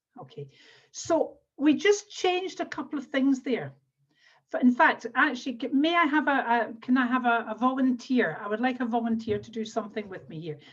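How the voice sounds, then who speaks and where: With a Scottish accent, a woman speaks at a high pitch and a moderate pace. Her intonation is lively, and her loudness swings widely. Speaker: NLP trainer and coach. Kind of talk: webinar workshop instruction. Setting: video call.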